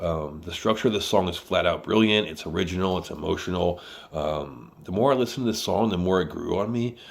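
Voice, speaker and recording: A man with a very deep, low pitch, lively intonation and a fairly quick pace. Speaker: music reviewer. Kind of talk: music review monologue. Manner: halting, many filler ums.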